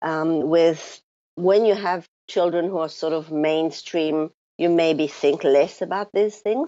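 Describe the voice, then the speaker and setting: A woman speaks at a very slow pace. Her voice is pitched fairly low. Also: fairly even intonation. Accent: French. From France. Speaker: clinical psychologist. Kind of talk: interview conversation. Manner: halting, many fillers.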